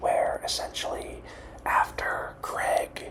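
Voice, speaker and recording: Noticeable noise fills the background. Over it, someone whispers. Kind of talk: ASMR movie review. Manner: whispered.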